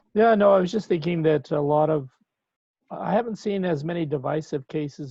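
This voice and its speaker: A man talks at a fairly quick pace in an unremarkable speaking voice, with ordinary pitch variation, a dry sound with no echo, and a quiet background. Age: 60s. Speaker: professor. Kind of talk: workshop discussion. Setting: video call. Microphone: video call.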